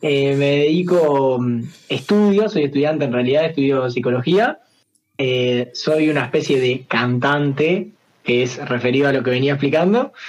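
A man speaks with a Uruguayan accent at a fairly high pitch. His pace is fairly slow and his loudness very even. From Uruguay, San José. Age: 20s. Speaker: singer and streamer. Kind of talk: casual chat.

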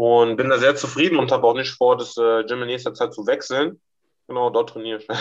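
Talking at a fairly quick pace, a man with an ordinary speaking voice keeps his intonation fairly even while his loudness swings widely. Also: medium pitch for a man. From Germany, Mainz. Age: 20s. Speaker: amateur fighter. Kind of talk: casual chat.

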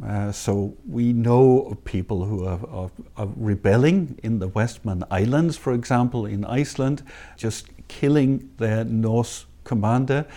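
Speaking fairly slowly with a Danish accent, a man uses a medium pitch, ordinary pitch variation and a dark, mellow tone on a very clean recording with a silent background. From Denmark. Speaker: history professor. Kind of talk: interview. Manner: hesitant, many fillers; passionate.

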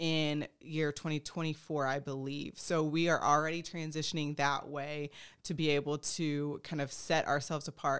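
A woman with an American accent speaks at a moderate pace and a very deep, low pitch. Her intonation is monotone and flat, on a very clean recording with a silent background. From Texas. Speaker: sports nutritionist. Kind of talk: interview.

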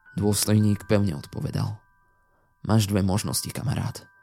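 A man speaks in a dramatic tone. His pitch is fairly low. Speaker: creepypasta narrator. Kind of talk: ghost story telling, first-person horror narration. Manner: suspenseful, hushed and slow-building, dramatic.

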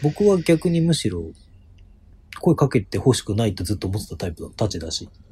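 The speaker moves at a fairly quick pace with very wide pitch swings. Music plays in the background. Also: man, medium pitch for a man. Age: 30s. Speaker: basketball podcast co-host. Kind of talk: casual chat.

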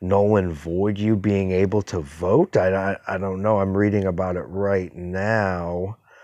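Against a quiet background, the speaker goes at a fairly slow pace with fairly even intonation. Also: man. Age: 40s. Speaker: podcast host. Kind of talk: casual monologue. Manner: halting.

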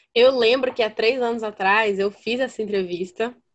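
This is a normal speaking voice, moving along at a moderate pace. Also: woman. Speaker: podcast host. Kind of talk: casual chat.

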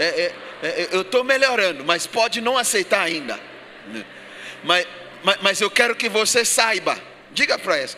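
A man with a high pitch raises and projects his voice, using lively intonation at a moderate pace. Noticeable noise sits in the background. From Ghana. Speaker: pastor. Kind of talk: sermon. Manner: repetitive, emphatic preaching.

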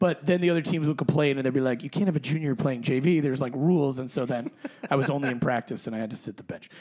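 A man speaks in a plain, everyday voice, pitched fairly high, with ordinary pitch variation. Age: 40s. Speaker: soccer fan guest. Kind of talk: casual chat.

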